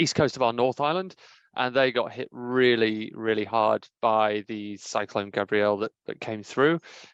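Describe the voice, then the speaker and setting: A man's medium-pitched voice with an English accent, at a moderate pace with ordinary pitch variation, in a dry, close sound with no echo against a quiet background. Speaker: workplace health and safety professional. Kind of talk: podcast interview.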